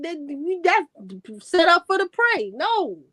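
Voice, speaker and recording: A raised, projected voice with a dry, close sound and no echo. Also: woman. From Chicago, US. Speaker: guest on a live reaction stream. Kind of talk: casual chat.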